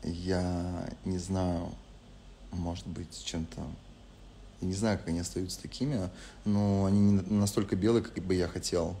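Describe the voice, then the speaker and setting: A man's very deep, low voice with a dark, mellow tone, fairly slow and marked by long, frequent pauses, over light background noise. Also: fairly even intonation. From Spain. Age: 20s. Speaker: reality show participant. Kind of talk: live stream chat answering viewer questions. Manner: casual, relaxed. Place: home room. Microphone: lapel.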